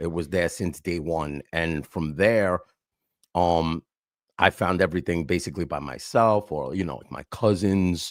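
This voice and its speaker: A man with a New York accent talks at a fairly slow pace in a very deep, low voice, his pitch varying in an ordinary way. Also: dry, close sound with no echo, very clean recording, silent background. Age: 50s. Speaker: hardcore and hip hop vocalist. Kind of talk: casual interview.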